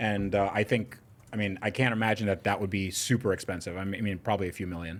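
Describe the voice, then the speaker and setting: The intonation stays fairly even. The pace is very fast. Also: man, fairly low pitch for a man. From Russia, left as small child. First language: Russian. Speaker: podcast guest. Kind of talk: casual chat. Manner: halting, many fillers.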